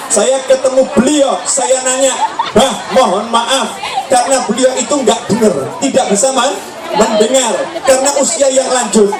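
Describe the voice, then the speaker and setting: A man speaks with an extremely high pitch and fairly even intonation. Audible room echo surrounds him, with crowd noise in the background. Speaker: Islamic preacher. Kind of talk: sermon. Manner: slow.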